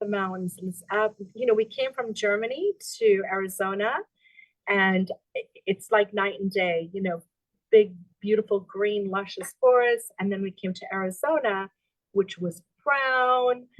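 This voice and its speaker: With an unremarkable speaking voice, a woman talks at a moderate pace, her medium pitch showing ordinary variation, in a dry, close sound with no echo. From South Africa, moved to Florida at 14. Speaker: real estate agent and military spouse. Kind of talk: casual interview chat.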